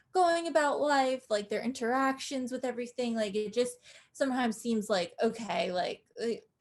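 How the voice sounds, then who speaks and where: Against a quiet background, a woman speaks in a slight New Jersey accent. Her pitch is fairly high with ordinary variation, and her pace is moderate. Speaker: podcast co-host. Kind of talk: casual chat.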